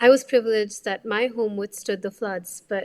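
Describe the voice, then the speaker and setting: A woman speaks with a Kannada accent at a moderate pace. Her intonation is monotone and flat. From India, Bengaluru. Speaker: doctor and climate advocate. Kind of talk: interview.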